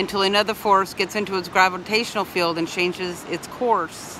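Over light background noise, a woman speaks at a moderate pace with fairly even intonation, the sound dry with no echo. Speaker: van life vlogger. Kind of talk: casual vlog chat. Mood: reflective, earnest. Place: beach. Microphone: phone near.

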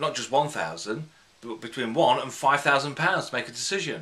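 Speaking at a fairly slow pace, a man with a British accent has a fairly high pitch. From UK. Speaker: hypnotherapist; hypnotherapist trainer. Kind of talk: tutorial. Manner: unscripted, conversational. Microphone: phone near.

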